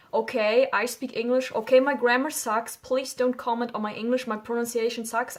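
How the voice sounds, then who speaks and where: A woman speaks with a German accent in a very clean recording against a silent background. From Germany. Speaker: YouTuber. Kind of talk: casual vlog talk. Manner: informal, hesitant.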